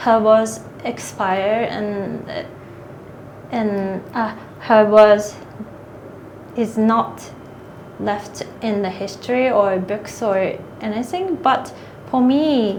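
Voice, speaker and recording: Amid noticeable background noise and audible room echo, a woman with a fairly high pitch talks at a very slow pace with long, frequent pauses. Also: ordinary pitch variation. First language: Japanese. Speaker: author and manga artist. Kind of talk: interview. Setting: literary festival. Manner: halting.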